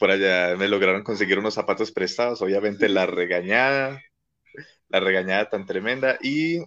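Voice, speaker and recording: Against a quiet background, a man speaks at a moderate pace in a fairly low voice with a bright, sharp tone and ordinary pitch variation. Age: 20s. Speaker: marching band teacher. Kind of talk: casual chat.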